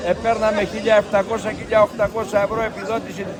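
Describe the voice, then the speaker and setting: Crowd noise sits behind a man speaking at a high pitch. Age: 70s. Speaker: farmer. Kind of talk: protest speech.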